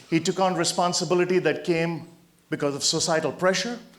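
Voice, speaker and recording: Audible room echo surrounds a man speaking at a fairly quick pace in a high pitch. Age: 60s. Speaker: motivational speaker. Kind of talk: motivational talk. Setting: stage with audience.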